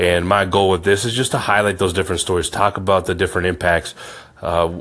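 This man has a very deep, low voice and a Midwestern American accent. His intonation is monotone and flat. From Iowa, US Midwest. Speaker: podcast host. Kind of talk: podcast intro monologue.

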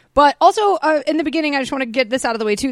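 A woman speaks with an American accent. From Georgia, US. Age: 30s. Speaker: podcast host. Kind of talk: casual chat. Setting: studio.

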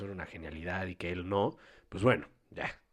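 A man's very deep, low voice, fairly quick and monotone, flat in intonation, on a very clean recording with a silent background. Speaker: podcast co-host. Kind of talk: casual chat.

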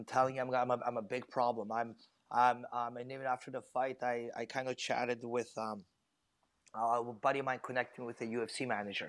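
This man talks at a fairly quick pace with a medium pitch. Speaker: professional MMA fighter. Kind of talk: casual chat. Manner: animated.

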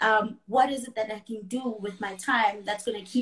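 A somewhat breathy woman, fairly high in pitch, with fairly even intonation at a moderate pace. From South Africa, KwaZulu-Natal. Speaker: wellness coach and finance worker. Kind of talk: casual interview chat.

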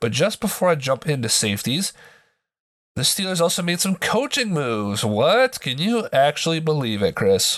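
Against a quiet background, a man with a fairly high pitch sounds animated, his voice making very wide pitch swings. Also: moderate pace. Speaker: podcast host. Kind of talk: casual banter, sports talk. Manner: jokey, animated.

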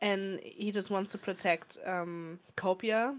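This is a normal speaking voice. The intonation is fairly even. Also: woman. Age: 20s. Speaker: podcast co-host. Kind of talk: casual chat.

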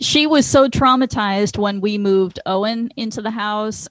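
A woman's medium-pitched voice, an ordinary speaking voice, at a moderate pace, dry and close with no echo. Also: very clean recording, silent background. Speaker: musician guest. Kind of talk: casual radio chat.

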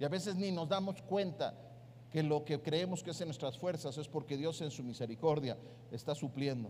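A man speaks at a fairly high pitch and a moderate pace, in a dark, mellow, somewhat breathy tone. His pitch variation is ordinary, and there is audible room echo. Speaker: pastor. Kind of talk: sermon.

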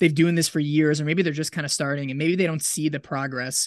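A man with an unremarkable speaking voice, fairly high in pitch, fairly quick in pace and fairly even in intonation. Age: 20s. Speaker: podcast host and ultrarunner. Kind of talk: casual interview.

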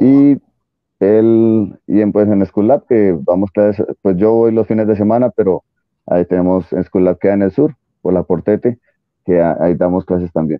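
With a plain, everyday voice, a man speaks fairly slowly at a fairly low pitch, his pitch varying in an ordinary way and his loudness very even. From Colombia. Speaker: jiu-jitsu competitor, former triathlete. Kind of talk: interview.

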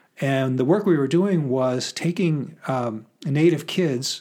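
A man speaks in an ordinary speaking voice with a fairly high pitch. He goes at a fairly slow pace, and his pitch varies in an ordinary way. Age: 50s. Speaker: author and professor. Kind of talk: casual chat.

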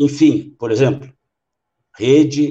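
Very slow in pace, a man speaks with a dark, mellow tone, ordinary pitch variation and a somewhat breathy quality. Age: 60s. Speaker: mayor and former state deputy. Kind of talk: panel debate.

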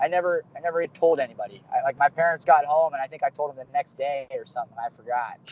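A man talks at a very fast pace. His voice sits at fairly high pitch with ordinary pitch variation. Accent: American. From Pittsburgh, Pennsylvania. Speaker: wrestling coach. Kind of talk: casual interview.

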